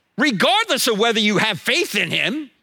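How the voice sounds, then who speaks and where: Raised and projected, a man's bright, sharp voice sits at an extremely high pitch and swings very widely. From New Jersey. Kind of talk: sermon. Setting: church. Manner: fast.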